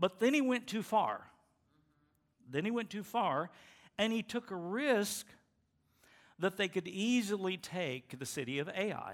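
With lively intonation and a high pitch, a man speaks at a fairly slow pace with long, frequent pauses on a very clean recording with a silent background. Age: 70s. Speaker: pastor. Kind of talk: sermon. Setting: church. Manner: halting.

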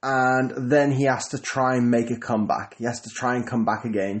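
Here is a man with an unremarkable speaking voice. He talks at a moderate pace and a medium pitch. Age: 30s. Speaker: business coach podcaster. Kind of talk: solo podcast monologue. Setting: at home. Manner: casual, with filler words.

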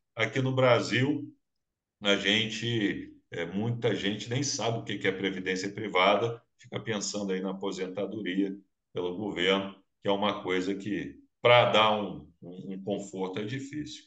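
In a room with audible echo, a man speaks at a fairly slow pace and a fairly low pitch, with ordinary pitch variation. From Minas Gerais, Brazil. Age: 50s. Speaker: business show host. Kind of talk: interview. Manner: animated.

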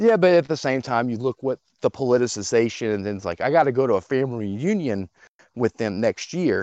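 A man speaks fairly quickly with lively intonation in a normal speaking voice. The sound is dry and close, with no echo. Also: medium pitch for a man. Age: 30s. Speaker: caller. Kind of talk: call-in conversation. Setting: phone call.

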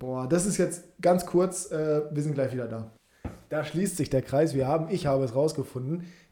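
A man speaks at a moderate pace in a fairly high, somewhat breathy voice with a dark, mellow tone and ordinary pitch variation. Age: 20s. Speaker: football podcast host. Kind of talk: casual chat.

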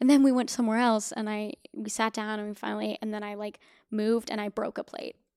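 Very fast and fairly even in intonation, a woman with a fairly high voice for a woman shows big swings in loudness, with a dry, close sound with no echo on a very clean recording with a silent background. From US Pacific Northwest, Portland, Oregon. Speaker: actor. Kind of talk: casual chat. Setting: in person at guest's home.

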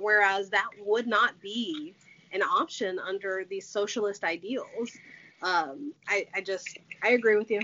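Noticeable background noise beneath a fairly slow pace. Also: woman. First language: Portuguese. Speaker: podcast host. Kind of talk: casual chat.

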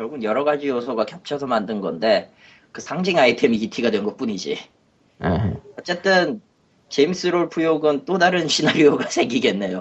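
Here a man talks at a moderate pace in a fairly high voice. His pitch swings very widely. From South Korea, Gwangju. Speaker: podcast co-host. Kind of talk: casual chat.

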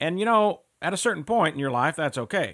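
In a very clean recording with a silent background, a normal speaking voice moves at a fairly quick pace with ordinary pitch variation and a dry, close sound with no echo. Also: man. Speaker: financial salesman. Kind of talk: infomercial sales pitch for annuity products. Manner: persuasive, urgent, salesy with repeated calls to action; earnest, reassuring, fear-stoking about market losses.

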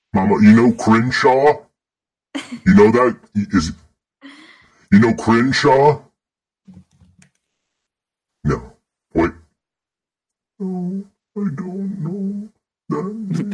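Delivered in a put-on character voice, the speech moves at a very slow pace, broken by long, frequent pauses, with very wide swings in pitch. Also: man, fairly high pitch for a man. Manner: confused, questioning.

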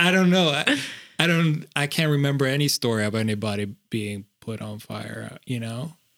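Lively intonation marks this voice. It is a normal speaking voice, moving at a moderate pace. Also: man, medium pitch for a man. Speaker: podcast co-host. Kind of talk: casual podcast conversation.

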